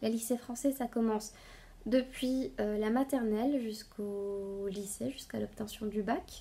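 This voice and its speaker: A woman's fairly high voice carries a dark, mellow tone. She speaks very slowly with fairly even intonation. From Bolivia (La Paz). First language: Spanish (speaking French). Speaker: knitting podcaster. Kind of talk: casual vlog talk to viewers. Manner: halting, many hesitations.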